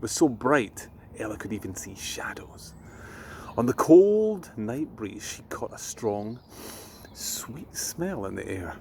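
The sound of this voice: A man talks slowly in a fairly low voice with vocal fry and a slightly mellow tone. His pitch swings widely.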